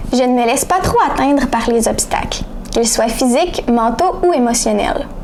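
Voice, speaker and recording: This voice moves at a moderate pace with very even loudness and ordinary pitch variation, set against noticeable background noise. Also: woman, high pitch for a woman. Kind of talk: reading a first-person essay aloud.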